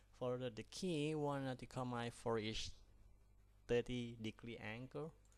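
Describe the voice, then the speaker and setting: This speaker has a non-native accent and talks at a moderate pace with fairly even intonation. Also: man, medium pitch for a man. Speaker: pilot instructor. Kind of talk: tutorial.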